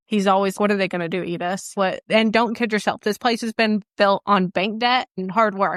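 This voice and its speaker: A woman with an unremarkable speaking voice talks at a medium pitch with fairly even intonation. The recording is very clean, the background silent. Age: 30s. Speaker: horse breeding business owner. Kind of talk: Q&A with students. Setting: talk with a student group present.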